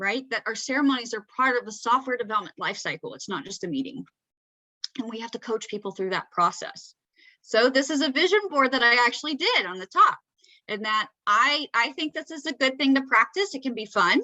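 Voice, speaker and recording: Speaking fairly quickly with an American accent, a high-pitched woman uses lively intonation and big swings in loudness. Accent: Southern accent, comes out sometimes. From Georgia, US South. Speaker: Scrum Master, presenter. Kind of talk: presentation to user group. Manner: conversational, filler-heavy.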